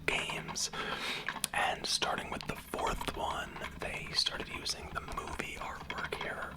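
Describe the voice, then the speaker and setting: The speaker whispers fairly slowly, with noticeable background noise around the voice. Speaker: ASMR creator. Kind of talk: ASMR whisper. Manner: whispered.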